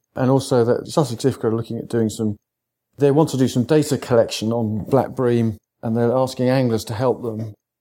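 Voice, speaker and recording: A man's fairly quick speech in a southern English accent, dark and mellow in tone, with fairly even intonation, on a very clean recording with a silent background. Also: medium pitch for a man. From England, East Sussex. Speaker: sea angler and conservation campaigner. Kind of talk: casual interview.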